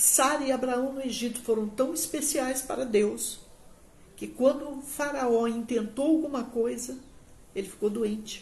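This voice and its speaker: Audible room echo surrounds a woman with a high pitch. She speaks at a fairly slow pace with fairly even intonation. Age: 60s. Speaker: pastor. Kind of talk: sermon. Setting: livestream on social media.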